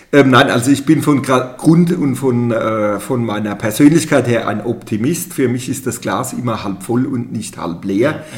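Here a man speaks at a medium pitch, somewhat breathy, with ordinary pitch variation. Room echo is audible. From Palatinate, Germany (Pirmasens). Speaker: mayor. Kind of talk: interview. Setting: studio.

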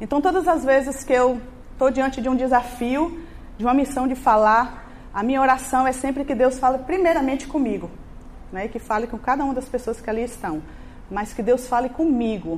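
A woman's high voice with ordinary pitch variation at a moderate pace, audible room echo around it. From Bahia, Brazil. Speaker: missionary preacher. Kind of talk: sermon.

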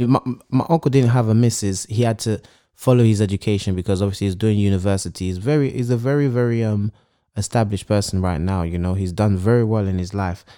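A man in a London accent, fairly low-pitched with a dark, mellow tone, ordinary pitch variation and a very fast pace, on a very clean recording with a silent background. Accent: London multicultural English. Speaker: podcast co-host. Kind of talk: casual banter chat. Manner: animated, bantering.

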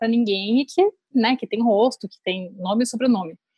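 A woman talks at a fairly high pitch and a moderate pace, with ordinary pitch variation. Her voice is somewhat breathy, and the sound is dry and close with no echo. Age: 30s. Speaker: photographer. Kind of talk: casual interview.

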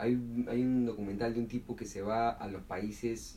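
A man's dark, mellow voice, fairly low in pitch, at a moderate pace with audible room echo. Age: 30s. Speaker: comedian. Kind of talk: interview.

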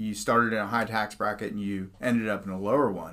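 A man talks at a fairly quick pace in an ordinary speaking voice, pitched at a medium level. The recording is very clean, with a silent background. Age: 40s. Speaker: financial advisor. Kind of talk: casual chat.

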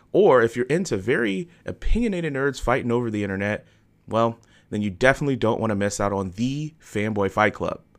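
A man with an unremarkable speaking voice talks at a fairly quick pace, his medium pitch showing ordinary variation against a quiet background. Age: 30s. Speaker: podcast host. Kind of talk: scripted intro; casual chat.

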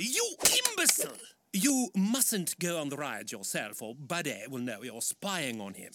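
A man talks at a moderate pace. His fairly high voice swings very widely in pitch. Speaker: mysterious stranger in an animated show. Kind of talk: formal, elaborate wording. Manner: haughty, condescending.

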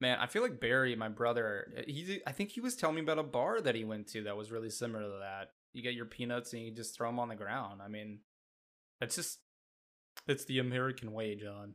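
This man talks fairly quickly in an ordinary speaking voice. His pitch sits in the medium range, with ordinary pitch variation. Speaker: podcast co-host, Yankees fan. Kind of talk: casual sports podcast chat.

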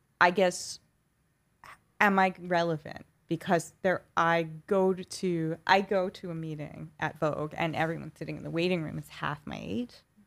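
A woman with a slight New York accent speaks fairly slowly at a fairly low pitch, her intonation fairly even. Her loudness swings widely on a very clean recording with a silent background. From New York City, Queens. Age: 40s. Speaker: publicist. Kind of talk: casual interview chat.

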